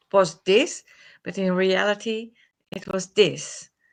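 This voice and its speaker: A woman with a non-native accent speaks at a very slow pace and medium pitch, her tone bright and sharp, her intonation monotone and flat, over a quiet background. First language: not English. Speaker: remote viewer. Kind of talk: group discussion. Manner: halting, hesitant.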